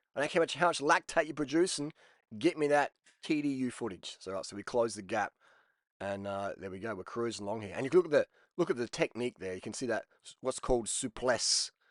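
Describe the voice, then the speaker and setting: A man with an Australian accent talks at a very fast pace, his tone animated and intonation lively. The sound is dry and close with no echo, over a quiet background. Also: medium pitch for a man, big swings in loudness. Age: 40s. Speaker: cycling vlogger. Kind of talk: casual video commentary.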